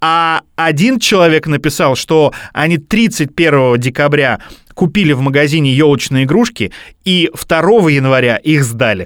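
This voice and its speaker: A man with a plain, everyday voice, fairly high-pitched, lively intonation, a fairly slow pace and very even loudness, on a very clean recording with a silent background. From Russia, Bryansk. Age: 30s. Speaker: podcast host. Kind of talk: casual chat.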